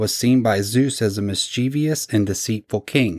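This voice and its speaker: On a very clean recording with a silent background and a dry, close sound with no echo, a man speaks in an ordinary speaking voice at a medium pitch, a moderate pace and with ordinary pitch variation. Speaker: podcast host. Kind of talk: casual storytelling podcast.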